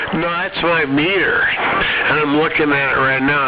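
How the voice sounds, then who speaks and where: A man speaks at a moderate pace. Music plays behind him, and the room echo is audible. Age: 60s. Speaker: CB radio operator. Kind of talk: casual chat. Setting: CB radio transmission.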